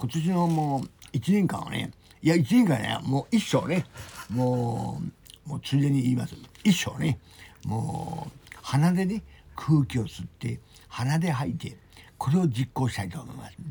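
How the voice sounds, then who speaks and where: The speaker talks at a fairly slow pace with lively intonation and big swings in loudness. Noticeable background noise sits behind the voice. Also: man, fairly high pitch for a man. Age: 60s. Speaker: rehab center member. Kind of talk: casual chat. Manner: halting.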